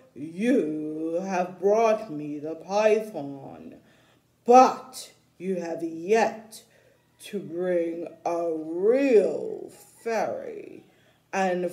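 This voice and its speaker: The speaker puts on a character voice at a middle pitch. Delivery is very slow. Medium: read story.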